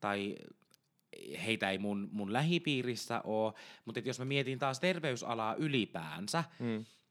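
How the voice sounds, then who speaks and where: A man's plain, everyday voice at medium pitch and fairly slow pace, with lively intonation, on a very clean recording with a silent background. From Ostrobothnia, Finland. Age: 20s. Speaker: intensive care nurse and podcast co-host. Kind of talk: casual chat. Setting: home studio.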